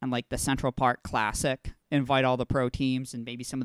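Intonation stays monotone and flat, with an American accent. The recording is very clean, with a silent background and a dry, close sound with no echo. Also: man. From Texas. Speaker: soccer podcast host. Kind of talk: casual chat.

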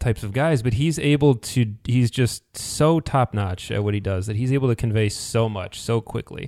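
The speaker has a normal speaking voice, a moderate pace and ordinary pitch variation. The recording is very clean, dry and close, with a silent background and no echo. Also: man. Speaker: podcast host. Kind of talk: casual podcast discussion, episode recap.

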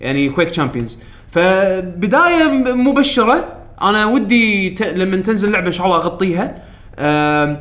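The speech moves at a fairly slow pace. Its loudness stays very even. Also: man, high pitch for a man. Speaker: podcast host. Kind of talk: casual chat. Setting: studio.

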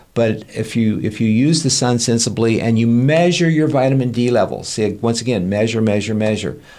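With an American accent, a man speaks at a moderate pace in a dark, mellow tone, his pitch medium with ordinary variation and his loudness very even, amid audible room echo. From Kansas, US. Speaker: family physician. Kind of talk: interview.

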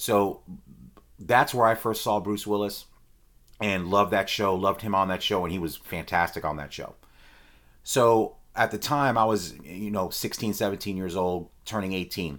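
An ordinary speaking voice from a man at a fairly low pitch comes through on a very clean recording with a silent background. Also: ordinary pitch variation, moderate pace. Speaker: movie podcast host and reviewer. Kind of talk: solo movie review monologue. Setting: recorded live while streaming.

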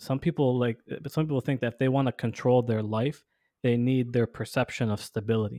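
Against a quiet background, a man with a dark, mellow tone speaks at a fairly quick pace with fairly even intonation and very even loudness, the sound dry and close with no echo. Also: medium pitch for a man. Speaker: podcast co-host. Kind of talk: casual conversational discussion.

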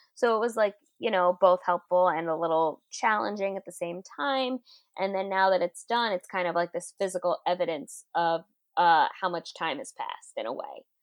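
A woman's plain, everyday voice at a medium pitch, with ordinary pitch variation and a moderate pace, in a dry, close sound with no echo. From Queens, New York City. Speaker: comedian and writer. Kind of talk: casual interview chat. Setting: remote call.

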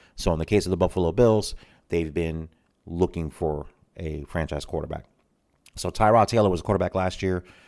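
In an American accent, the speaker talks at a fairly quick pace with ordinary pitch variation and long, frequent pauses, in a very clean recording with a silent background. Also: man, very deep, low pitch for a man. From Tampa, Florida. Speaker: podcast host. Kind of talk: solo commentary. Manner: casual, frequent fillers.

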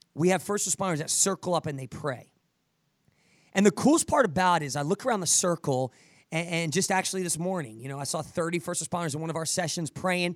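Speaking at a very fast pace, a man uses an animated tone and high pitch. The recording is very clean with a silent background, dry and close with no echo. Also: ordinary pitch variation. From New Jersey, US. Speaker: podcast host and fitness coach for first responders. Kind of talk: motivational podcast interview.

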